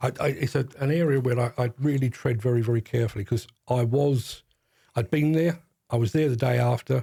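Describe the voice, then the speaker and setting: A man with a London accent, medium-pitched and somewhat breathy, dark and mellow in tone, fairly even in intonation, at a very fast pace. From South London. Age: 60s. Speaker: demolition industry journalist. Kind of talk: podcast interview. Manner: halting, repeats words.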